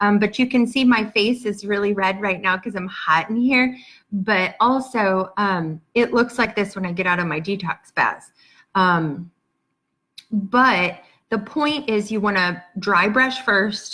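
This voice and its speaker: A woman's bright, sharp voice moves at a fairly slow pace with ordinary pitch variation. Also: medium pitch for a woman. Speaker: patient advocate, support group founder. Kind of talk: live-streamed Q&A. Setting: livestream video. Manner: hesitant, many fillers.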